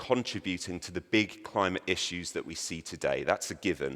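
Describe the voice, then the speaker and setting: In a very clean recording with a silent background, a man talks with a British accent. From Britain. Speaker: conference speaker. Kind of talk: conference presentation. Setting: stage with audience.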